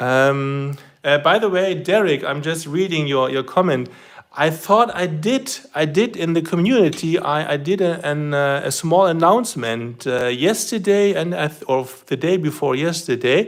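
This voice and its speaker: With lively intonation and a fairly high pitch, a man speaks at a moderate pace. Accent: German. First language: German. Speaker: RC model hobbyist livestreamer. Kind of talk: live stream demonstration. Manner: halting.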